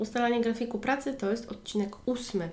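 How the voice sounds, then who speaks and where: Speaking at a fairly quick pace, a woman has a normal speaking voice and a fairly high pitch. Her intonation is fairly even. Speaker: online language tutor and podcast host. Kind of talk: solo educational podcast monologue.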